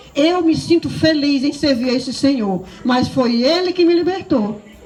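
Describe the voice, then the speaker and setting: A woman at a moderate pace with ordinary pitch variation, amid audible room echo and noticeable background noise. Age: 60s. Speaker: preacher. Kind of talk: sermon. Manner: animated.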